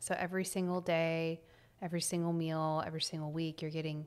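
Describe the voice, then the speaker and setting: A woman with an American accent and a normal speaking voice talks at a fairly quick pace. Her pitch is fairly low on a very clean recording with a silent background. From Texas, Temple. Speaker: entrepreneur. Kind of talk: interview.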